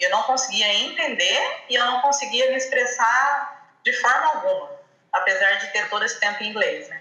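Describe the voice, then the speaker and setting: Noticeable background noise, audible room echo, and lively intonation. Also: woman. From Brazil, southern Minas Gerais (Poços de Caldas). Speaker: physiotherapist, language student. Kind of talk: interview.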